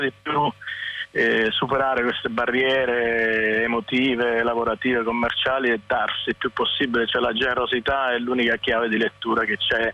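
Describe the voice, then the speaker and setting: Over music in the background, a man speaks at a moderate pace in a medium pitch. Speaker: musician. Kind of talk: interview.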